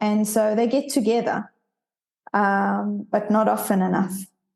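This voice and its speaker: In a South African accent, this speaker talks at a fairly slow pace with a dark, mellow tone. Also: woman. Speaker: leadership coach. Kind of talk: interview conversation.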